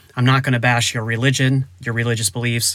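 A man talks at a fairly quick pace at a medium pitch. His intonation is monotone and flat. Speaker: men's ministry podcast host. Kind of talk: faith-based motivational monologue. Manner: casual, conversational.

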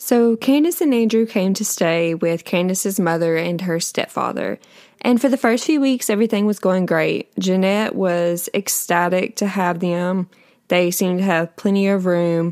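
A woman with a plain, everyday voice speaks at a moderate pace and medium pitch, with very even loudness and ordinary pitch variation. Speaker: true crime podcaster. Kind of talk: true-crime narration, casual storytelling. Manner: conversational, chatty; casual, with filler words and a slightly indignant tone.

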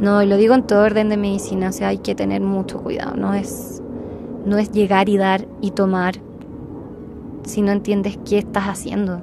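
A woman's medium-pitched voice holds a monotone, flat intonation at a moderate speed while noticeable background noise plays behind her. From Chile. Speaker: psychologist sharing a healing experience. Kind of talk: interview testimony.

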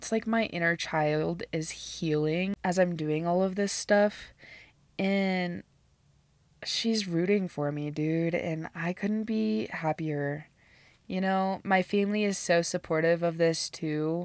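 In a very clean recording with a silent background, a woman with an American accent talks at a very slow pace, her fairly low pitch showing ordinary variation. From US Midwest, southeast Nebraska. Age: 20s. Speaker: podcast host. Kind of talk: casual monologue.

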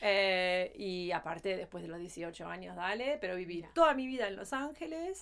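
A woman's medium-pitched voice with lively intonation, a moderate pace and hardly any pauses. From Los Angeles, raised in Argentine-Spanish home. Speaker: podcast co-host. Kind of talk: casual chat.

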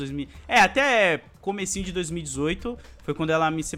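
With music in the background, a man speaks at a moderate pace in a fairly high pitch with lively intonation. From Brazil, São Paulo (born in Alagoas, moved at 3). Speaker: YouTuber. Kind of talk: casual interview chat.

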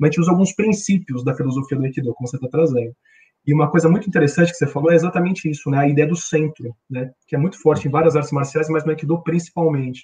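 A man with a São Paulo accent talks at a very fast pace in a fairly high pitch with ordinary pitch variation. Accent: Brazilian Portuguese, paulistano. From Brazil, São Paulo city. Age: 40s. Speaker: corporate trainer and aikido practitioner. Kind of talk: casual interview on a livestream.

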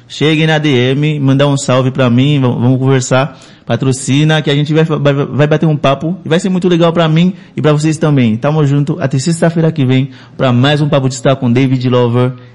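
A man speaks in an ordinary speaking voice with a fairly high pitch. His loudness is very even and his intonation fairly even. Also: fairly quick pace. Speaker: web radio host. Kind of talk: casual interview chat.

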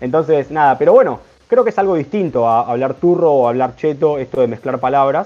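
A man at a fairly quick pace, fairly high in pitch, with a dark, mellow tone and ordinary pitch variation. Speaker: radio host. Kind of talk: casual chat; scripted segment presentation. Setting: remote from home.

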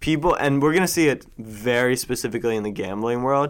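Speaking at a fairly quick pace in a normal speaking voice, a man with a medium pitch and ordinary pitch variation comes through on a very clean recording with a silent background. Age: 20s. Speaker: sports media entrepreneur. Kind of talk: casual interview. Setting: office studio.

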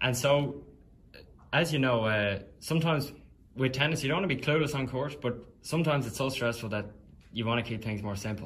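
A man with an Irish accent speaks at a fairly quick pace but leaves long, frequent pauses. Audible room echo surrounds him. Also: medium pitch for a man, ordinary pitch variation. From Ireland. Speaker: college tennis player interviewing. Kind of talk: interview.

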